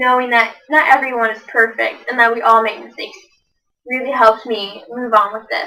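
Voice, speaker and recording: This woman has a high-pitched voice. She speaks at a fairly quick pace. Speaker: college student. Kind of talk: class assessment speech. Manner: fast; rushed, words run together.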